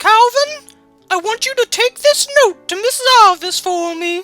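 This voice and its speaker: A woman puts on a squeaky character voice at an extremely high pitch, speaking at a moderate pace over faint background music. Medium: read story. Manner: firm, teacherly.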